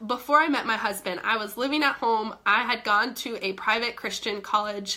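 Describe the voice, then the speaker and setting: Recorded very cleanly against a silent background, a woman speaks at a moderate pace in an animated, bright, sharp tone. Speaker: fitness coach. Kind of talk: live stream chat. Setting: live video stream.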